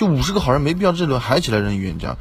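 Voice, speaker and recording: This man speaks at a very fast pace with lively intonation. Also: dry sound with no echo. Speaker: werewolf game player; game streamer. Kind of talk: game discussion. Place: home room. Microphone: studio mic.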